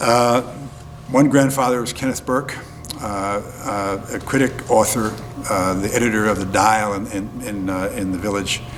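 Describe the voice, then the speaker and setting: Against noticeable background noise and audible room echo, a man speaks at a fairly low pitch and moderate pace with fairly even intonation. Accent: American. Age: 70s. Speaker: folk musician. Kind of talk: interview. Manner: halting, many fillers.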